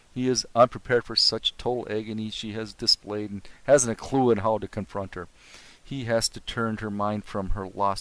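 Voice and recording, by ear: The intonation here is fairly even. It is reading aloud in a natural voice.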